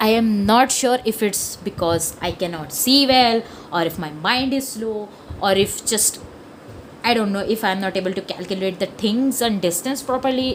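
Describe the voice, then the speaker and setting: A woman with a strong Indian accent and fairly high pitch speaks at a moderate pace with long, frequent pauses, over noticeable background noise. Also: ordinary pitch variation. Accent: heavy Indian. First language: Hindi. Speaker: comic artist. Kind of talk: casual sketchbook tour talk. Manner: chatty, rambling.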